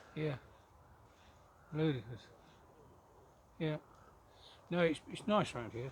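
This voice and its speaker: A man speaks at a fairly slow pace with long, frequent pauses. His fairly high voice is somewhat breathy, with lively intonation. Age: 80s+. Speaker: local resident. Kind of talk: casual chat.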